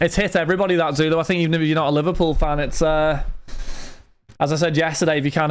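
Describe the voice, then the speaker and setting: A man speaks very fast with a British accent. His pitch is high. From Britain. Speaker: card break livestreamer. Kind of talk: livestream chat. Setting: home streaming studio with lights and fan. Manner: casual, chatty.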